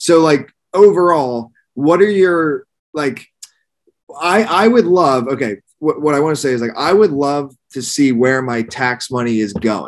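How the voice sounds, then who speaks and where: A man speaks at a fairly slow pace with an American accent and lively intonation. His pitch is fairly high, and the background is quiet. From Pennsylvania, near Philadelphia. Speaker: podcast host. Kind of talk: casual interview. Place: home room. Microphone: webcam.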